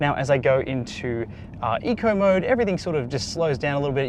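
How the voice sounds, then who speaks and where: A man with an Australian accent speaks fairly quickly, his pitch fairly high and his intonation lively. Noticeable background noise runs behind him. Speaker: car reviewer. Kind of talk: product review. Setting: in a car.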